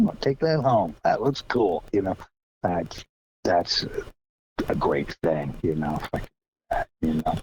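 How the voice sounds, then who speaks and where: A man with a Florida accent at a fairly slow pace, with long, frequent pauses, big swings in loudness, and a dry, close sound with no echo. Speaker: percussionist and visual artist. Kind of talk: interview. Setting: phone call. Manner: halting, repetitive.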